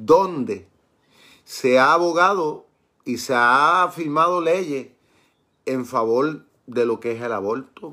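A man talks very slowly in a fairly high voice with lively intonation. His tone is bright and sharp. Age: 50s. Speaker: pastor. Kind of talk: Bible study sermon. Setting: live stream.

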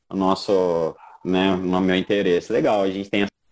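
This man has a normal speaking voice, fairly low in pitch. He talks at a moderate pace. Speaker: podcast host and filmmaker. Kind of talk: interview. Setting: online live stream.

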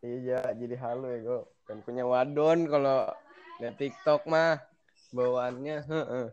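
A man's normal speaking voice at a medium pitch, fairly slow in pace, with fairly even intonation. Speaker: guest. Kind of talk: casual chat between friends. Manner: joking, slangy, profane.

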